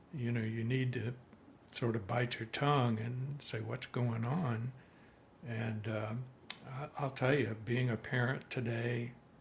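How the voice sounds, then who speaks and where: A man talks at a fairly slow pace in a somewhat breathy voice. His intonation is monotone and flat. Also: medium pitch for a man. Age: 80s+. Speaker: retired father, single parent. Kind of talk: casual interview.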